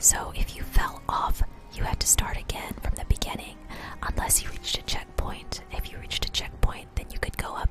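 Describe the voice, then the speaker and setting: Whispering at a moderate pace in a relaxed tone, a woman is heard over noticeable background noise. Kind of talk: soft-spoken ASMR gameplay commentary. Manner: soft-spoken, relaxed.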